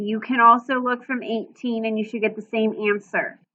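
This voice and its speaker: In an ordinary speaking voice, a woman talks at a fairly high pitch with fairly even intonation. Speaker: math teacher. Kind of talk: lecture.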